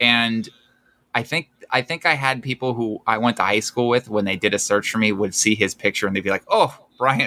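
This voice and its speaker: A man with an American accent speaks at a fairly quick pace in a bright, sharp tone at a medium pitch. The recording is dry and close with no echo, and his pitch varies in an ordinary way. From Pennsylvania (Camp Hill, near Harrisburg). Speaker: stand-up comedian. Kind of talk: casual chat.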